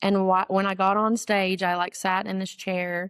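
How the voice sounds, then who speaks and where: A woman with an Appalachian accent at medium pitch and a moderate pace, in monotone, flat intonation with a dry, close sound and no echo. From Western North Carolina. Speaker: ballad singer. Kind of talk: interview answer. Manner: casual, storytelling.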